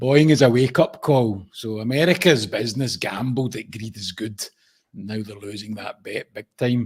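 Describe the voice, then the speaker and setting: A man with a Scottish accent, medium-pitched and somewhat breathy, at a moderate pace with ordinary pitch variation. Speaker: podcast co-host. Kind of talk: casual chat.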